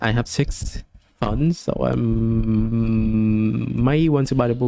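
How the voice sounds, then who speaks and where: A man speaks at a very slow pace, his loudness held very even. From Vietnam. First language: Vietnamese. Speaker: gaming streamer. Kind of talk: gameplay commentary with reading game text aloud. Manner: halting, stumbling.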